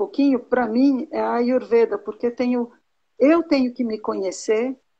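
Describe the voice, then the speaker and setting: Against a quiet background, a woman with a high voice talks at a moderate pace, her pitch varying in an ordinary way. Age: 60s. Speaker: teacher and Ayurveda student. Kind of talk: mentoring conversation. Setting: live video call.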